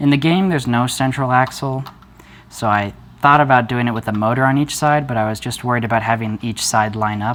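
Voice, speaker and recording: Mumbling at a fairly quick pace, a man talks at a medium pitch with ordinary pitch variation. Noticeable background noise runs underneath. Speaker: hobbyist maker, video creator. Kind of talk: unscripted tutorial demo. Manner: mumbling a little; hesitant, with fillers.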